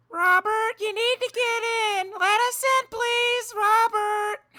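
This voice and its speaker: A put-on character voice sits at an extremely high pitch. The delivery is fairly slow. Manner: pleading, coaxing.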